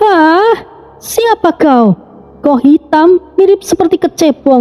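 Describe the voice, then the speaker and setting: A put-on character voice speaks at an extremely high pitch and a fairly slow pace. Music plays in the background. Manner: menacing, intimidating.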